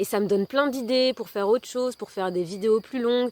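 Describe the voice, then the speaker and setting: In a dry, close sound with no echo, a woman speaks fairly quickly at a fairly high pitch. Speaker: wellbeing content creator and storyteller. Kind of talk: personal testimony video monologue. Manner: hesitant, many fillers.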